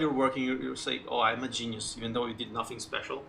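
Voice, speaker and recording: Noticeable background noise sits behind a man talking at a fairly quick pace. His pitch is medium and his intonation fairly even. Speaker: gaming streamer. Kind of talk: casual chat. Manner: halting, many fillers.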